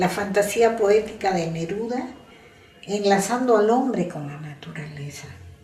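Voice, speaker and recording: A woman with a medium pitch talks at a fairly slow pace, her pitch varying in an ordinary way as music plays behind her. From Huánuco, Peru. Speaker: poet and university lecturer. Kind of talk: reading own writing.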